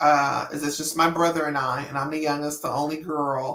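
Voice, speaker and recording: A woman with an American accent, very deep and low in pitch, with a bright, sharp tone, fairly even intonation and a fairly slow pace. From California, Bay Area (Berkeley, Oakland). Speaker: slot gaming youtuber. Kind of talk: casual interview chat. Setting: live stream interview.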